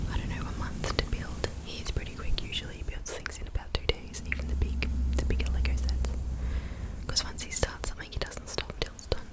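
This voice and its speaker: Whispering very fast, a woman is heard against noticeable background noise. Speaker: ASMR creator. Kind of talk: ASMR chit chat. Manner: whispered.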